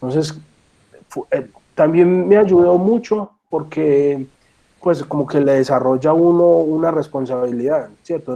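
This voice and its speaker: A man with a fairly high pitch speaks at a moderate pace in a dark, mellow tone with ordinary pitch variation. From Colombia, Medellín. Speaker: horn player and music teacher. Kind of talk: talk. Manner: halting.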